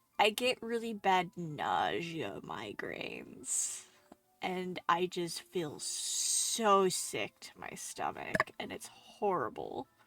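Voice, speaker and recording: Speaking very slowly, a woman's voice rises and falls sharply in loudness. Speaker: streamer. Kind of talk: casual chat.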